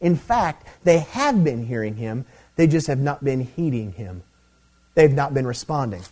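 Speaking at a fairly slow pace, a man with a fairly high pitch uses lively intonation and a somewhat breathy, dark, mellow tone. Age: 30s. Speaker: preacher. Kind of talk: sermon. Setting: church revival service.

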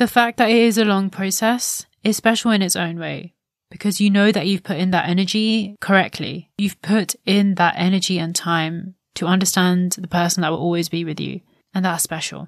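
A woman speaks in a normal speaking voice at medium pitch, with fairly even intonation and a moderate pace. The recording is very clean with a silent background and a dry, close sound with no echo. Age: 20s. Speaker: podcast host. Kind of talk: solo reflective monologue.

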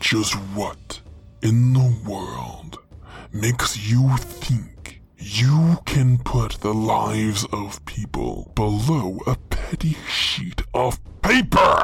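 Speaking at a very slow pace, the man adopts a put-on character voice at a medium pitch. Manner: angry, defiant, commanding.

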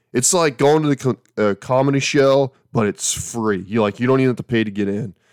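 Speaking at a fairly quick pace and medium pitch, a man uses ordinary pitch variation, recorded dry and close with no echo against a silent background in a very clean recording. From Alabama. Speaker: podcast host and campground manager. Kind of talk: casual solo podcast monologue. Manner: casual, humorous, rambling.

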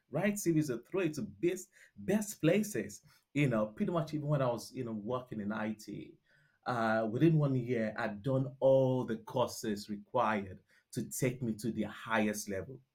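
Somewhat breathy, this voice moves at a moderate pace with a Nigerian accent. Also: man, medium pitch for a man, lively intonation. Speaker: restaurant founder. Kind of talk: interview conversation. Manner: halting, many fillers.

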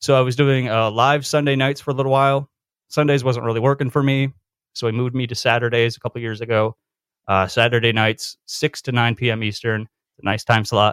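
A man speaks in an unremarkable speaking voice at medium pitch, fairly quickly and with fairly even intonation. The recording is very clean, with a silent background and a dry, close sound with no echo. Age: 30s. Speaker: community radio host. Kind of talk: casual chat.

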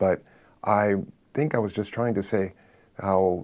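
The man has an American accent. His pitch moves in an ordinary way. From Los Angeles, US. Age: 60s. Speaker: artist and retired professor. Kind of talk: panel conversation.

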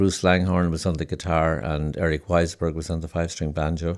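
A man speaks fairly quickly in a southwest Irish accent. His very deep, low voice is flat and monotone, with vocal fry. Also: very clean recording, silent background. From Ireland, County Limerick. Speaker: folk musician and folklore professor. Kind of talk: interview. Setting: living room of a private home.

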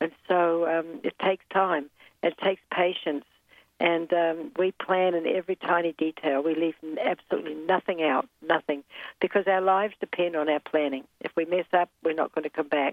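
A woman with a New Zealand accent at a fairly low pitch, her intonation fairly even, her loudness very even, her pace moderate. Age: 70s. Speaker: polar explorer and mountaineer. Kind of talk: interview.

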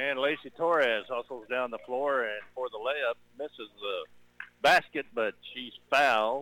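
A man's fairly slow, medium-pitched delivery with fairly even intonation, a plain, everyday voice. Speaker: radio play-by-play announcer. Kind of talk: live sports commentary. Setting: gym, radio broadcast.

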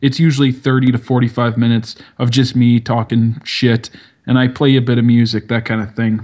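A man with a strong Canadian accent, medium in pitch, monotone and flat in intonation, at a moderate pace. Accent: Canadian, heavy. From Canada. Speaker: podcaster. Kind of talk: casual chat.

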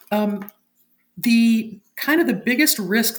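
There is a somewhat breathy quality to this voice. It belongs to a woman. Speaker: cybersecurity consultant, caller. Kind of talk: call-in question.

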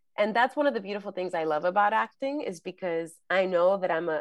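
Speaking at a moderate pace and medium pitch, a woman uses a plain, everyday voice with lively intonation. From New York, the Bronx. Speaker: actress and acting coach. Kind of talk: casual chat.

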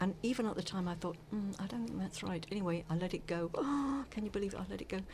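A medium-pitched woman with lively intonation, a very fast pace and hardly any pauses, over noticeable background noise. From South Africa, Cape Town. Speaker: former journalist and radio presenter. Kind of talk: interview.

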